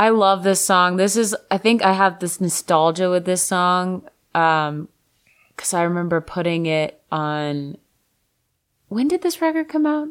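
A woman's unremarkable speaking voice in an American accent, medium in pitch, fairly slow in pace, with lively intonation, on a very clean recording with a silent background. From Florida, Fort Lauderdale. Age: 30s. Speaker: singer-songwriter. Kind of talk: casual chat.

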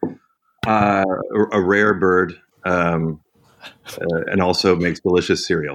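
A man speaks at a very deep, low pitch in a monotone, flat delivery with very even loudness. His pace is fairly slow, broken by long, frequent pauses. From Canada. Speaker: musician. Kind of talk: casual chat.

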